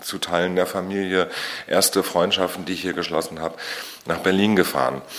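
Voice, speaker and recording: A man is speaking. His pitch is very deep and low. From Usedom, northeastern Germany (Mecklenburg-Vorpommern). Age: 40s. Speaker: musician, singer-songwriter. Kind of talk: interview. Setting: studio, face to face.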